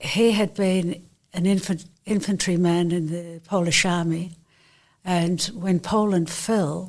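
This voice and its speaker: In an Australian accent, a woman speaks very slowly in a fairly low, monotone, flat voice. The recording is very clean with a silent background. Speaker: Holocaust survivors' daughter. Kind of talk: testimony.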